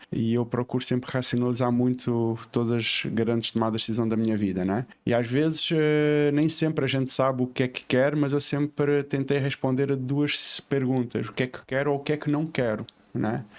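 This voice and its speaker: A man in a European Portuguese accent, at a moderate pace with fairly even intonation. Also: medium pitch for a man, hardly any pauses. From southern Portugal, Faro, Algarve. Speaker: civil engineer and entrepreneur. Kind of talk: podcast interview. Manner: hesitant with many fillers.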